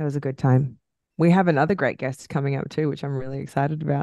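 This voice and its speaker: Over a quiet background, a woman speaks in an Australian accent. Her pitch is very deep and low, and her pace very fast. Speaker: podcast co-host. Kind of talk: casual chat. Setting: recording at home.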